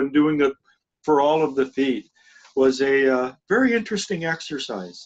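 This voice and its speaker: An ordinary speaking voice from a man, fairly high in pitch, at a moderate pace, with dry, close sound and no echo. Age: 60s. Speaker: spiritual group leader. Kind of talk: casual chat.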